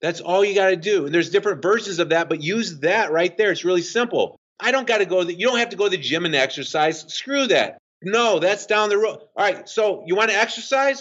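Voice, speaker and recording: A man talks loudly at a fairly quick pace with hardly any pauses, using a high pitch and ordinary pitch variation. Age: 50s. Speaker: fitness coach and author. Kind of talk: podcast interview. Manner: fast.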